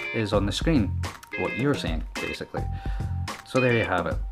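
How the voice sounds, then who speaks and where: Over clear background music, a man speaks at a moderate pace with a Scottish accent. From Scotland. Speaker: vlogger. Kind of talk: casual talk to camera. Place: home room. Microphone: handheld.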